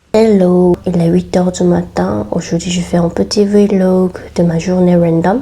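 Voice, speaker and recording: Over noticeable background noise, a woman talks at a fairly slow pace with a fairly low pitch. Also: ordinary pitch variation. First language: Korean (speaking French). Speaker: lifestyle vlogger and food content creator. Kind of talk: vlog voiceover. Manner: halting non-native phrasing.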